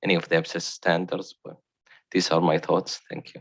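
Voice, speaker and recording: With a non-native accent, a man's very deep, low voice comes through dry and close with no echo against a quiet background. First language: not English. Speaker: board member. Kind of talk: formal board meeting discussion.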